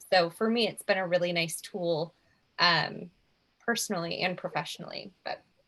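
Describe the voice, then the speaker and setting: This woman's voice is fairly low in pitch, with a bright, sharp tone. Her intonation stays fairly even. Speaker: speech therapist. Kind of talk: informational presentation with group discussion. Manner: fast.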